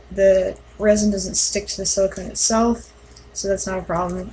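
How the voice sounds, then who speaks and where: A woman's quiet, medium-pitched voice at a moderate pace, with noticeable background noise. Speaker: mask-making hobbyist vlogger. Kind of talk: tutorial. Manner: hesitant, many fillers.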